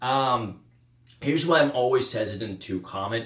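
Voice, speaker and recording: A man's animated, lively-intoned speech at a moderate pace, with audible room echo. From Russia, raised in the Carolinas from age eight. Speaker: podcast host. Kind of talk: casual monologue podcast. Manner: animated, many fillers and restarts. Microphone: recorded without external mic.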